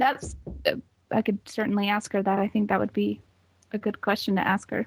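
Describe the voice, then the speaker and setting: With an American accent and vocal fry, a woman of medium pitch speaks at a fairly quick pace in a monotone, flat intonation, the sound dry and close with no echo. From US West (Utah). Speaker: caller. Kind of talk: casual chat. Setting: video call.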